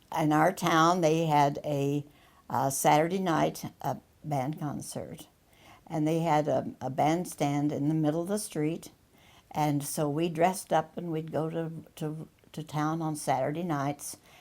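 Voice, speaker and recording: A woman's very deep, low pitch with fairly even intonation. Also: fairly slow pace. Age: 90s. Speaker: widow interviewee. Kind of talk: documentary interview. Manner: halting.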